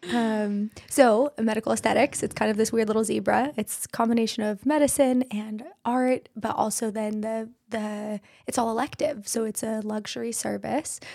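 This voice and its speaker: A woman with an American accent, fairly high pitch and a moderate pace. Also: fairly even intonation. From Idaho, US. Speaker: physician assistant and aesthetics business owner. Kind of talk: casual interview. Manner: soft-spoken.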